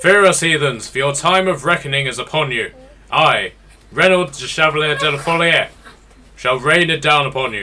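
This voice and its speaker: A man puts on a booming character voice with a fairly high pitch, talking at a moderate pace. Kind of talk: archaic, theatrical. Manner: grandiose, declaring.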